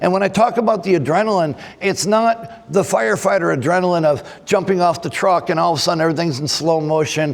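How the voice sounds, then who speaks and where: A man speaks very fast with ordinary pitch variation while noticeable background noise fills in behind him. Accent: American. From Texas. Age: 60s. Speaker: forensic trainer, former firefighter. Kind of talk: conference presentation. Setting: conference stage with audience.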